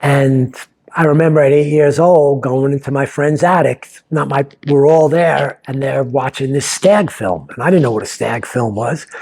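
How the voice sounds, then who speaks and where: This man has a normal speaking voice and an American accent. He speaks at a moderate pace with a fairly high pitch and ordinary pitch variation. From New York. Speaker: playwright. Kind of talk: personal storytelling. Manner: casual, conversational.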